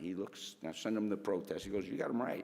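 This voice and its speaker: Here a man with a New York accent talks with ordinary pitch variation. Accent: New York area. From Connecticut, Stamford. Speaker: fire officer. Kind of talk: speech to audience, storytelling. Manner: halting, repetitive.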